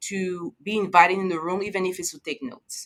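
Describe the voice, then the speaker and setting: A woman speaks with a French accent in a bright, sharp tone. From Ivory Coast. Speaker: finance executive. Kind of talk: interview. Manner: clear.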